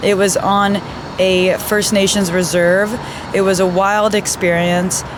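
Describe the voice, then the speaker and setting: With audible room echo and noticeable background noise, a woman speaks at a fairly slow pace in a Canadian accent. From Canada (Toronto), partly raised in Israel. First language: Hebrew. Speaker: nurse and vlogger. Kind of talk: casual vlog Q&A.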